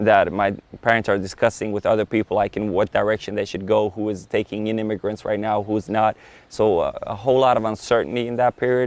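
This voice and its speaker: The speech is very fast, with monotone, flat intonation. The sound is dry and close with no echo. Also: man, fairly low pitch for a man. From Sweden (Bosnian refugee, northern Sweden). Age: 30s. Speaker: tech entrepreneur. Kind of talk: interview.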